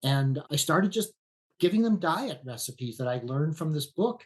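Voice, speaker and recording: This man's voice sits fairly high in pitch, comes across somewhat breathy, and carries lively intonation. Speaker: veterinarian. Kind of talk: podcast interview.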